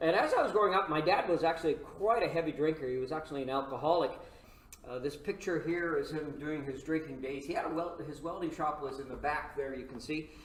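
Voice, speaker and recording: With noticeable background noise and audible room echo, a man talks at a very fast pace in a fairly high pitch with ordinary pitch variation. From Saskatchewan, Canada. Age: 70s. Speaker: pastor. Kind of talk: lecture.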